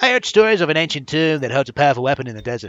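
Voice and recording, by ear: Using a put-on character voice, a man speaks at a very fast pace with a fairly high, nasal pitch.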